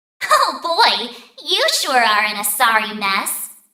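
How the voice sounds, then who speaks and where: A female-sounding voice does a put-on character voice, speaking at a fairly slow pace with fairly high pitch. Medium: video game. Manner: casual, flippant.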